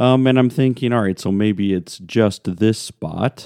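This man's pitch shows ordinary variation. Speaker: pastor. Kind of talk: daily devotion. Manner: casual, conversational, with fillers.

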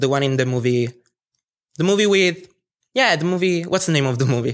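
A man with an Italian accent, fairly high in pitch, with ordinary pitch variation and a moderate pace. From Italy. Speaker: student. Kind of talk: storytelling performance. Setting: stage with audience.

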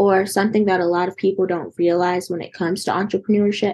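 An unremarkable speaking voice from a woman with an American accent, medium in pitch and at a fairly quick pace. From North Carolina. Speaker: podcast host. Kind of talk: podcast interview.

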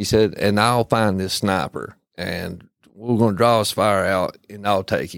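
A man with an unremarkable speaking voice talks at a fairly slow pace, his fairly low pitch held to a fairly even intonation, on a very clean recording with a silent background. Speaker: military veteran. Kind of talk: casual podcast interview.

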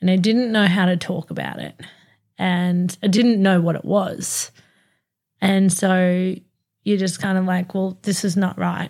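On a very clean recording with a silent background, a woman with an Australian accent speaks at medium pitch and a fairly slow pace, in a monotone, flat delivery broken by long, frequent pauses. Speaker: podcast co-host. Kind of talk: casual chat. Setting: studio.

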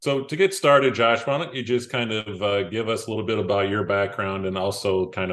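An unremarkable speaking voice, a man with an American accent at fairly low pitch, lively intonation, a fairly quick pace and hardly any pauses, over a quiet background. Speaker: podcast host. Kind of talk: interview, host questions.

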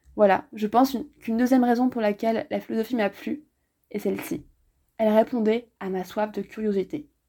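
A woman talks at a fairly quick pace with a fairly high pitch and a dark, mellow tone. Her pitch varies in an ordinary way, on a very clean recording with a silent background. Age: 20s. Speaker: podcast host, philosophy student. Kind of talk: scripted narration. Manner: formal.

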